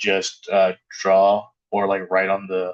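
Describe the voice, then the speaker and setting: No echo colors this dry, close sound. Nothing can be heard in the background. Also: man. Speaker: math teacher. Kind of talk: lecture. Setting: classroom video with document camera. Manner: monotone; halting.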